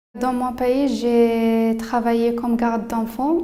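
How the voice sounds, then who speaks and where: Audible room echo surrounds a woman's high-pitched voice. She speaks very slowly in a monotone, flat intonation. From Morocco. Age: 20s. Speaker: job training participant. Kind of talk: self-presentation. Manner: halting.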